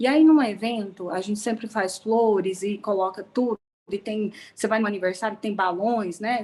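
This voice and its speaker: This woman talks at a moderate pace with a fairly high pitch and ordinary pitch variation. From Goiás, Brazil. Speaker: cooperative sector events and sponsorship professional. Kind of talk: online event participant comment. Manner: animated.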